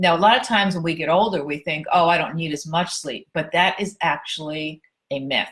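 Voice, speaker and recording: An ordinary speaking voice at a fairly quick pace. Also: woman, fairly low pitch for a woman, ordinary pitch variation. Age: 60s. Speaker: personal trainer and fitness writer. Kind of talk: casual tutorial to camera. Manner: conversational, informal.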